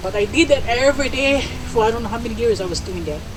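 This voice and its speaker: Noticeable background noise fills the clip. Through it, a woman speaks at a very fast pace. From Hawaii, Big Island (Waipio Valley). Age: 70s. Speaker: elder sharing memories. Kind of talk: storytelling talk to an audience.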